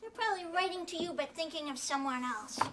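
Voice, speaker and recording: Using a put-on character voice, a woman speaks at an extremely high pitch and a very fast pace with lively intonation. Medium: stage play. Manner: dry, understated.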